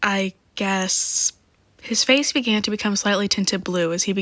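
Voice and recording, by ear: The intonation holds fairly even. It is reading aloud in a natural voice.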